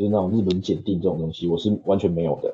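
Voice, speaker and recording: Pitched fairly low, a man talks with normal pitch movement. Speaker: software engineer. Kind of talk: casual interview. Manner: halting, many fillers.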